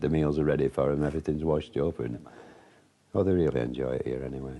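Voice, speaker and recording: A man with a northern English accent rattles along at a very fast pace in a very deep, low voice with vocal fry and fairly even intonation. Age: 60s. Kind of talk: interview answer.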